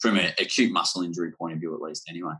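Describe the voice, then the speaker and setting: A man speaks with an Australian accent. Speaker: hamstring researcher. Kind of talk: casual interview. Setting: video call.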